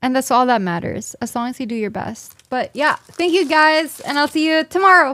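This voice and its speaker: A woman projects her raised, high-pitched voice in a bright, sharp, animated tone at a moderate pace. Her intonation is lively. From Philippines. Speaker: streamer. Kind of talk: casual live stream chat. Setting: live stream.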